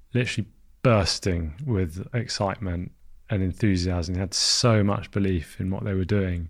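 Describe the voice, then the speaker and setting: A man speaks in a London accent with ordinary pitch variation. The recording is very clean, the background silent. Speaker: founder of an alcohol-free beer brand. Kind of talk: casual interview.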